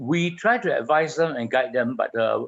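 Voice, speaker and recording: A man speaks at a moderate pace. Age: 60s. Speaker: children's home co-founder and caretaker. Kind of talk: radio interview.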